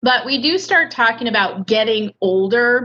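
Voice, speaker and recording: The voice has a bright, sharp tone, a moderate pace, and ordinary pitch variation. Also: woman. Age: 50s. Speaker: adult educator and ESL teacher. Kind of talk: online lecture. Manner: casual, humorous.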